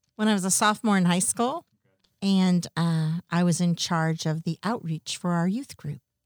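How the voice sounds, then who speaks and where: A woman's normal speaking voice with an American accent, fairly low in pitch with ordinary pitch variation, at a moderate pace, in a dry, close sound with no echo. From US West Coast. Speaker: children's ministry worker. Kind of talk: casual chat.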